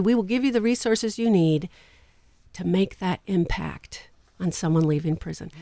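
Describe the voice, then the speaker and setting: Over a very clean recording with a silent background, a woman talks at a moderate pace with lively intonation. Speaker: international evangelist and prison minister. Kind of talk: radio interview, testimony and preaching. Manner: animated, vivid storyteller.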